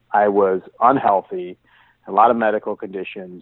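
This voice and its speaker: Here a man is talking with fairly even intonation. He keeps a moderate pace. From US Midwest, Metro Detroit area. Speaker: author and businessman. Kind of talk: interview. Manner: halting, many repetitions and fillers.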